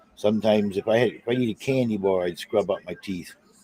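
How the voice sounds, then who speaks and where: Speaking with a Boston accent, a man talks at a fairly quick pace in a fairly low pitch with ordinary pitch variation. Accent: faint South Boston trace. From South Boston. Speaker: live streamer. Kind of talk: casual chat. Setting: live stream.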